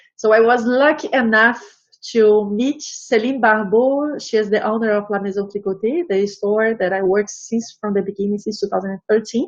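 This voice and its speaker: A woman with a Portuguese accent speaks at a fairly high pitch. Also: ordinary pitch variation, moderate pace. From Brazil. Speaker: embroidery artist and knitting teacher. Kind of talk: interview. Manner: halting.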